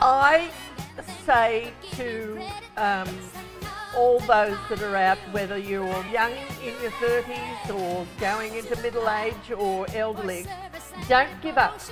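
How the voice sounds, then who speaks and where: A very slow voice with ordinary pitch variation plays over clear music in the background. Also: woman, fairly high pitch for a woman. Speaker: performer. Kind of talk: interview answer. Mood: emotional, earnest encouragement. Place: studio.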